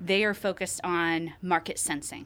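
A woman with a Midwestern US accent, at a moderate pace. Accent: US Midwest. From Ohio, around Columbus. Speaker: managing director at an accounting firm. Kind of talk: interview.

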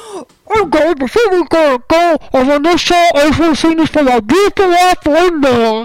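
Using a put-on character voice, a man speaks at a moderate pace with an extremely high pitch. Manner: sentimental, loud.

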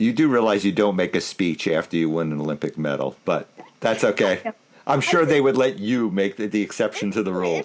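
A man talks fairly quickly, his intonation lively, while noticeable noise fills the background. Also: fairly low pitch for a man. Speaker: podcast co-host. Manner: loud.

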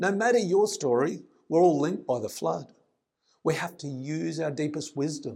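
A male voice with vocal fry, fairly high pitch and lively intonation, at a moderate pace. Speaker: poet. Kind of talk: poet spoken word, rhymed and rhythmic, earnest delivery. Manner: earnest, measured, declamatory with rhythmic emphasis on the rhymes.

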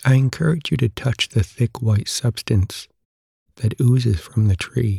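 In a calm, soothing tone, a man speaks at a fairly slow pace with a medium pitch, ordinary pitch variation and a dark, mellow, somewhat breathy voice. His loudness stays very even, and the sound is dry and close with no echo. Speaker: podcast host. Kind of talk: history documentary narration, second-person guided storytelling. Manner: calm, soothing, slow and measured; gentle, immersive storyteller tone.

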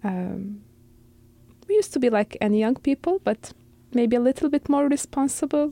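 A woman with an Arabic accent speaks at a moderate pace in a high pitch, with a dark, mellow tone, lively intonation and very even loudness. Her speech has long, frequent pauses, and the sound is dry and close with no echo. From Syria. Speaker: refugee. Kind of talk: interview.

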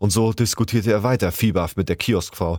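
Speaking very fast, a man comes through in a dry, close sound with no echo on a very clean recording with a silent background. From Hamburg, northern Germany. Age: 30s. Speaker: amateur voice actor. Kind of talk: reading aloud.

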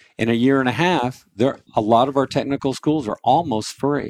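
In a normal speaking voice, a man at a medium pitch talks at a moderate pace, the sound dry and close with no echo against a quiet background. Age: 60s. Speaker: pest control business owner and state senate candidate. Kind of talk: radio interview.

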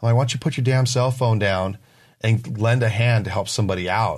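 Against a quiet background, a man with an American accent talks at a fairly quick pace. He has an ordinary speaking voice and fairly even intonation. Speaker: returning podcast guest. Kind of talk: casual chat.

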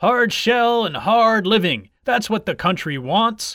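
A man does a put-on character voice at a slow pace, high-pitched with a bright, sharp tone and big pitch swings, on a very clean recording with a silent background.

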